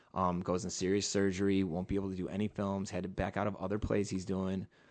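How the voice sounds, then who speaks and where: A man with a fairly low pitch talks at a very fast pace in a monotone, flat intonation. The background is quiet. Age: 30s. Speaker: filmmaker and musician. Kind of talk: casual chat.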